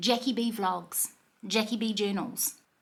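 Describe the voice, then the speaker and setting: Speaking with a New Zealand accent, a woman has a fairly high pitch. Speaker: vlogger and tarot reader. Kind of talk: casual vlog talk to camera. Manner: animated.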